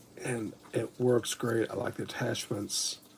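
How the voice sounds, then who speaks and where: A man speaks with monotone, flat intonation. Noticeable background noise is present. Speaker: Lego hobby streamer. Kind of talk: casual livestream chat.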